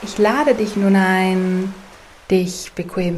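Over noticeable background noise, a woman speaks at a very slow pace in a calm, soothing tone. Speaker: meditation guide. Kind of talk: guided meditation. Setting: studio, with soft ocean wave sounds in the background. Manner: slow, calm, soothing, gentle pacing with long pauses; soft-spoken, warm, inviting.

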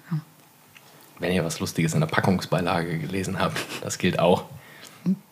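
A man with a very deep, low voice at a moderate pace, ordinary pitch variation, long and frequent pauses, and noticeable background noise. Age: 30s. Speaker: podcast co-host. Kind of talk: casual chat.

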